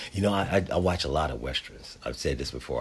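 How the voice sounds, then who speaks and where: Lively intonation marks this man's very deep, low voice. Vocal fry runs through it. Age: 60s. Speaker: podcast host. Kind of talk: solo monologue.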